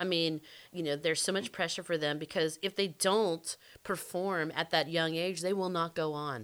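Talking in an American accent, a woman has a normal speaking voice with fairly low pitch. Her pace is moderate and her intonation fairly even. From US South. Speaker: true crime podcast co-host. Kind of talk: casual chat.

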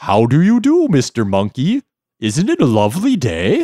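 Putting on a character voice, a man speaks at a moderate pace with fairly high pitch, very even loudness, and a dry, close sound with no echo. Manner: silly, playful.

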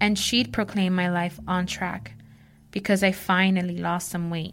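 A woman with a normal speaking voice talks at medium pitch and a moderate pace with ordinary pitch variation, on a very clean recording with a silent background. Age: 30s. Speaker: writing student. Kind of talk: reading aloud.

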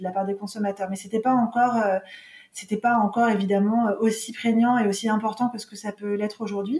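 A woman speaks in a normal speaking voice at a fairly high pitch. Her intonation stays fairly even. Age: 40s. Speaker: marketing entrepreneur. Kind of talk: interview.

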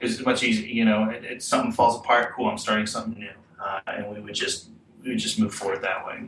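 Over noticeable background noise, a man with an American accent talks at a very fast pace, his loudness swinging widely. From Kansas City, US Midwest. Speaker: hardcore band vocalist. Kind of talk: casual chat. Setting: video call.

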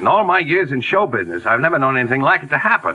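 In a put-on character voice, a man talks at a very fast pace and medium pitch, his bright, sharp tone carrying a slightly husky edge through big pitch swings.

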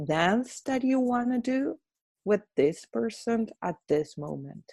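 A woman with an Argentine accent speaks at a very slow pace in a dark, mellow tone, the recording very clean with a silent background and a dry, close sound with no echo. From Argentina. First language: Spanish. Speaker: psychotherapist and trainer. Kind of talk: guided meditation and interview.

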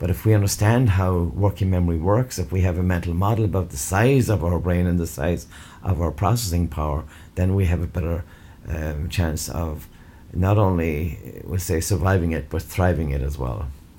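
In an Irish accent, a man speaks at a moderate pace with ordinary pitch variation. His very deep, low voice is dark, mellow and somewhat breathy. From Ireland. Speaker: educator. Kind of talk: interview.

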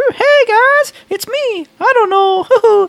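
The speaker puts on a character voice. Squeaky, the pitch climbs extremely high.

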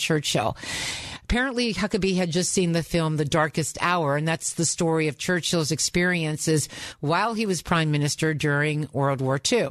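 At a moderate pace, a woman speaks at a fairly low pitch. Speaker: radio host. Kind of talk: talk radio. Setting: studio.

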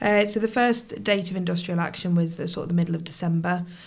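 Monotone, flat intonation in a Midlands accent. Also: woman. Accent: British English, Midlands. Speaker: nurse and union rep. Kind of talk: interview conversation. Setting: studio.

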